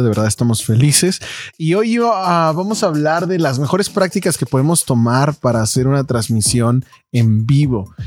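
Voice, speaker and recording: A plain, everyday voice from a man, medium in pitch, with lively intonation, in a very clean recording with a silent background. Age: 30s. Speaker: church media podcast co-host. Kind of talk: casual chat.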